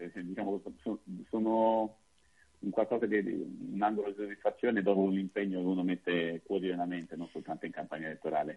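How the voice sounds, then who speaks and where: Fairly quick delivery with fairly even intonation, broken by long, frequent pauses. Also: man, fairly low pitch for a man. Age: 40s. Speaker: political candidate. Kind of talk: radio interview.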